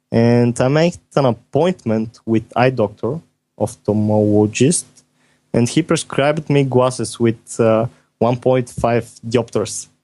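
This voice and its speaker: A man with medium pitch talks somewhat slowly, and his pitch varies in the usual way. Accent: non-native. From Bulgaria. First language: Bulgarian. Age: 20s. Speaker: software developer. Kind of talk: podcast interview. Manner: halting.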